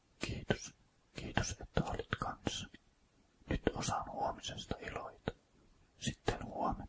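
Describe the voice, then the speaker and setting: Whispering at a very slow pace with long, frequent pauses over noticeable background noise. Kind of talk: whispered poetry reading. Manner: whispered, soft.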